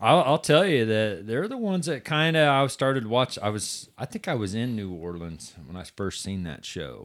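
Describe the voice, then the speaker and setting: A moderately paced voice with hardly any pauses, big swings in loudness and very wide pitch swings, on a very clean recording with a silent background. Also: man, medium pitch for a man. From southwest Missouri, US. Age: 40s. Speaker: drag racer and race organizer. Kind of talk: casual chat. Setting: studio.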